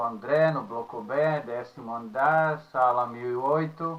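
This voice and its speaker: In a Czech accent, a man speaks at a very slow pace. His fairly high-pitched voice has a bright, sharp tone. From Czech Republic. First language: Czech (speaking Portuguese). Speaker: university professor. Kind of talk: lecture. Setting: recorded at home. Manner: halting, with filler sounds.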